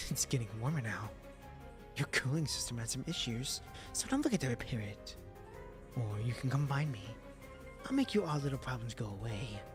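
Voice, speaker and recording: Over clear music in the background, a man puts on a raspy, sinister character voice at medium pitch, moving at a moderate pace with lively intonation. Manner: taunting, sinister.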